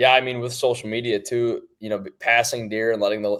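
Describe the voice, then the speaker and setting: The speech comes at a very fast pace. It is delivered in a Wisconsin accent. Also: man. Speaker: hunting seed company sales rep. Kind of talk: casual podcast interview.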